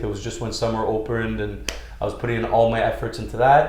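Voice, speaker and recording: Audible room echo and noticeable background noise accompany a man as he talks. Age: 30s. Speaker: real estate broker and nightclub owner. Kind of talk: podcast interview.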